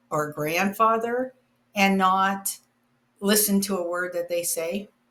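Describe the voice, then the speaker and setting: A woman's bright, sharp voice of medium pitch, at a very slow pace with ordinary pitch variation, on a very clean recording with a silent background. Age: 70s. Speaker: video blogger. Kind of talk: casual monologue rant. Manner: halting, many restarts.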